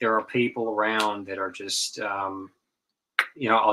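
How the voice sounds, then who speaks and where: A man at a medium pitch with an American accent, a bright, sharp tone, and a moderate pace. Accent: slight Southern twang, mostly suppressed. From North Carolina. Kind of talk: casual chat. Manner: halting, many repetitions and fillers.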